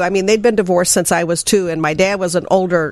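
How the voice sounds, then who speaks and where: A woman with a Midwestern US accent speaks at a very fast pace and medium pitch. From southern Illinois.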